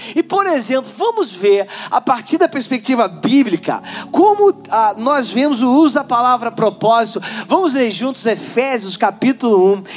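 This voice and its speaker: Over noticeable background noise, a man with an extremely high pitch talks at a moderate pace with lively intonation. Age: 40s. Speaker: pastor. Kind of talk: sermon.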